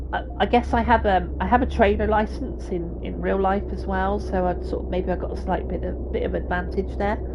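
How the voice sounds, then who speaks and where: A woman with a Somerset accent speaks at a very deep, low pitch in a relaxed tone, with monotone, flat intonation. Her pace is fairly quick with hardly any pauses, and audible room echo and noticeable background noise are present. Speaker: video game streamer. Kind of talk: live gameplay commentary with chat. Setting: live stream. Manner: relaxed, hesitant with fillers.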